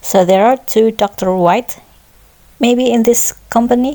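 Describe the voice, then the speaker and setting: Using a non-native accent, a woman speaks at a very slow pace in a fairly high pitch, her tone dark and mellow, with ordinary pitch variation. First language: not English. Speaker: gameplay commentator. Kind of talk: casual solo commentary. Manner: hesitant, thinking aloud.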